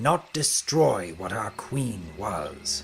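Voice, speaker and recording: Over clear music in the background, a man does a put-on character voice at medium pitch. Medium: audio drama. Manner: grandiose, menacing.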